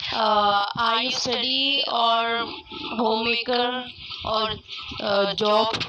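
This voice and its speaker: Over noticeable background noise and audible room echo, a woman speaks very slowly at a fairly high pitch, flat and monotone, with long, frequent pauses. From India, Punjab. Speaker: English learner. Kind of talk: casual chat. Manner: halting.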